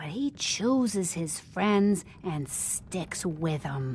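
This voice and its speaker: Using a put-on character voice, a woman speaks at a very slow pace and a fairly low pitch over clear background noise. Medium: video game. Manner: folksy, drawling.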